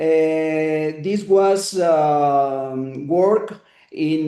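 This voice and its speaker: This man has a fairly high pitch and a dark, mellow tone. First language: Spanish. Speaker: neurosurgeon lecturer. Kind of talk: lecture. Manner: halting, many hesitations.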